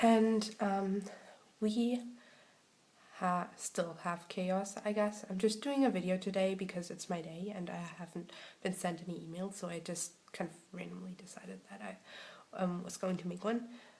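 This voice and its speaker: Somewhat breathy, a woman speaks at a medium pitch and moderate pace, with fairly even intonation and big swings in loudness. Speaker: video blogger. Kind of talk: casual vlog talk. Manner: hesitant, many fillers.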